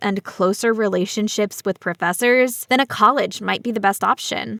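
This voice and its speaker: A woman with an American accent speaks at a fairly high pitch with fairly even intonation. The recording is very clean and dry, close with no echo and a silent background. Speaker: English teacher. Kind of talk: reading aloud. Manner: slow.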